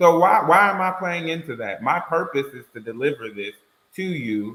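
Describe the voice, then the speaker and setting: Talking at a moderate pace, a man lets his pitch swing very widely. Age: 30s. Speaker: podcast panelist. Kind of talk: casual chat. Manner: loud.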